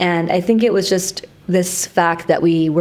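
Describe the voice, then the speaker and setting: With a Canadian accent and an unremarkable speaking voice, a woman speaks at a fairly low pitch and moderate pace, her intonation fairly even. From Canada, Vancouver. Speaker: entrepreneur. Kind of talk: podcast interview. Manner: casual.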